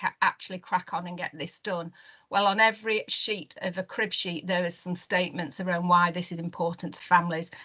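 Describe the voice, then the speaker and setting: Speaking at a fairly quick pace with hardly any pauses, a woman with a Lancashire accent uses a medium pitch and a bright, sharp tone. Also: big swings in loudness. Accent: Wigan. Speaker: neonatal care network lead. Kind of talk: webinar presentation. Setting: online webinar. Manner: halting, many fillers.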